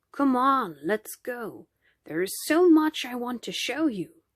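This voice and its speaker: In a put-on character voice, a woman speaks at a high pitch and a fairly slow pace. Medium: read story.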